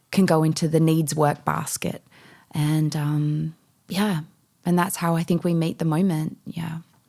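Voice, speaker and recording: Dark, mellow tone in an Australian accent, at a moderate pace. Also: woman. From Western Australia, Perth. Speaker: mindset and meditation coach. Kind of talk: podcast interview.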